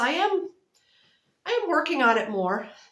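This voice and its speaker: A woman speaks with a bright, sharp tone and very wide pitch swings. Room echo is audible. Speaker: knitting and crochet vlogger. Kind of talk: casual chat. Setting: home video recording, close to camera. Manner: loud.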